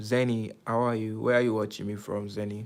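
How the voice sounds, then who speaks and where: With an American accent, a man talks at a fairly low pitch. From Nigeria. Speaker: YouTuber live streamer. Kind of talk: casual live stream chat. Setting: live stream. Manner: casual, uses slang.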